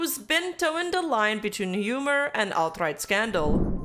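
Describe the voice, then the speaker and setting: With a French Canadian accent, a woman speaks at a moderate pace in a bright, sharp tone and very wide pitch swings. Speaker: VTuber commentator. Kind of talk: video essay narration.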